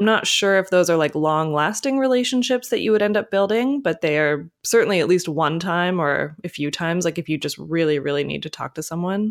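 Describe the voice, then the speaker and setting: On a very clean recording with a silent background, a woman has an unremarkable speaking voice with a fairly low pitch and lively intonation. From Canada. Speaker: author and blogger. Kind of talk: interview.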